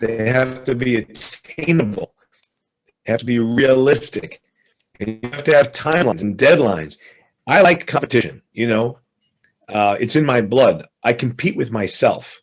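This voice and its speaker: A man speaks at a moderate pace and medium pitch with lively intonation. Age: 60s. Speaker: real estate investor. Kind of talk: interview. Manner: animated.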